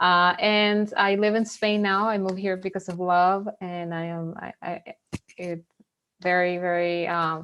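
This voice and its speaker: In a Venezuelan accent, a woman talks at a fairly slow pace with monotone, flat intonation. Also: medium pitch for a woman. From Venezuela, then US from age 15. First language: Spanish. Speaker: mindfulness facilitator. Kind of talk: webinar talk. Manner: halting.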